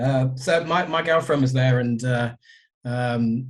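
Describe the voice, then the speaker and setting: A man's voice at medium pitch. It is somewhat breathy. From southern England. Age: 50s. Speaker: record label owner. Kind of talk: podcast interview.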